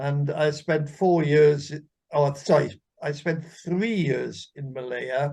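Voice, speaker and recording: A man with a fairly high, somewhat breathy voice speaks at a very slow pace. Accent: Welsh. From Wales. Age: 80s+. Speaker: military veteran, interview guest. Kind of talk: interview conversation.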